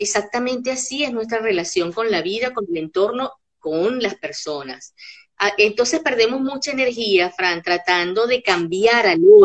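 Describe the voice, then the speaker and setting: Using a normal speaking voice, a woman talks at a fairly slow pace with a fairly high pitch and lively intonation. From Caracas, Venezuela. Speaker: psychopedagogue and workshop facilitator. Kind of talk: interview conversation.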